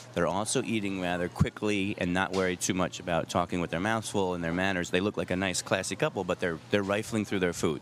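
This man has a very deep, low pitch and speaks with an American accent. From New York. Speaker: comedian and dating columnist. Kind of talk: interview chat.

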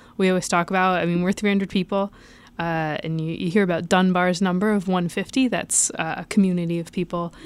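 On a very clean recording with a silent background, a woman speaks very fast at a medium pitch in a flat monotone. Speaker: HR team member. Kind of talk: casual interview. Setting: studio.

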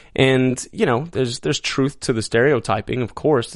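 A man with an American accent uses an ordinary speaking voice, medium pitch, ordinary pitch variation and a moderate pace. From Texas, El Paso. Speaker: actor. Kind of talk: casual interview. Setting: studio.

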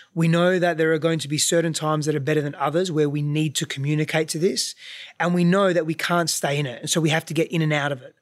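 In a monotone, flat intonation, a man speaks very fast at a fairly high pitch. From Australia. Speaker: relationship coach, host's husband. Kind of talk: casual chat. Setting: recording while traveling, mic on a chair.

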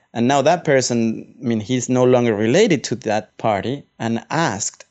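Speaking with a Spanish accent, a man uses a medium pitch and ordinary pitch variation. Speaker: photographer and journalist. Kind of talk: interview. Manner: halting.

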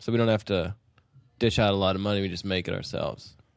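In a quiet background, a man with an American accent uses a plain, everyday voice, fairly low in pitch with ordinary pitch variation. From Utah. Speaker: rock musician. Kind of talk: casual interview chat. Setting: in person.

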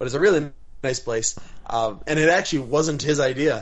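A man talks at a fairly quick pace with an American accent. He has a normal speaking voice, fairly high in pitch, with ordinary pitch variation. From Wisconsin. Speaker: professional MMA fighter. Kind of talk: casual interview. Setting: video call.

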